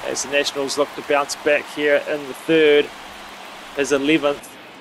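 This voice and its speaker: Noticeable background noise behind a man's fairly high voice at a moderate pace. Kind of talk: play-by-play game commentary over video game highlights. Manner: matter-of-fact, steady announcer cadence.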